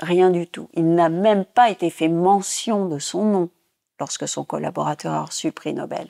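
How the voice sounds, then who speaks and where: The woman speaks at a fairly slow pace in a dry, close sound with no echo. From Tunisia. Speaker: former physicist and theatre director. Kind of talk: interview testimony.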